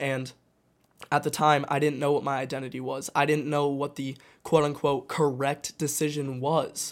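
In a very clean recording with a silent background, a man with an American accent speaks at a moderate pace in a fairly high voice with monotone, flat intonation. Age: 20s. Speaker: podcast host. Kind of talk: solo monologue podcast. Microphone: new microphone.

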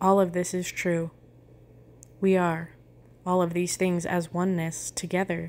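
Calm and soothing in tone, a woman talks at a fairly slow pace with long, frequent pauses. Her fairly low voice has a monotone, flat intonation. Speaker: meditation guide. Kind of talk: guided meditation with affirmations. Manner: calm, slow, soothing; gentle, paced with pauses.

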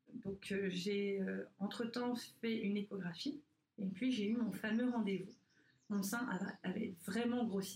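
A woman at medium pitch speaks very slowly with fairly even intonation and very even loudness. Long pauses come often. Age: 30s. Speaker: breast cancer survivor, prevention advocate. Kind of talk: interview about personal story. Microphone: poor sound quality.

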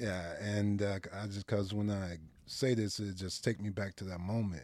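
A man with a plain, everyday voice talks at a fairly slow pace in a fairly low pitch. The recording is very clean with a silent background. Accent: American. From Detroit, Michigan. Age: 50s. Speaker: motivational speaker and former pro football player. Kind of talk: casual interview, life story.

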